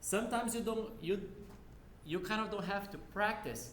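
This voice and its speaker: A speaker with a non-native accent talks at a fairly quick pace, with audible room echo and noticeable background noise. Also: man. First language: not English. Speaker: university lab instructor. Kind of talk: lecture. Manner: casual, conversational.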